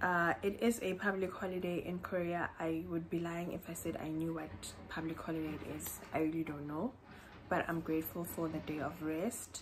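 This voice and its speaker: A woman speaks at a moderate pace in a fairly low voice with fairly even intonation. Noticeable background noise runs behind her. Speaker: vlogger. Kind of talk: casual vlog chat. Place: home room. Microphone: phone near.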